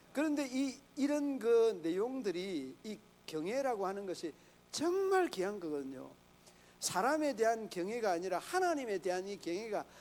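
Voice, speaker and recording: A man with a high pitch speaks at a fairly slow pace, his voice making very wide pitch swings. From Gyeongsang, Korea. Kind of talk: sermon.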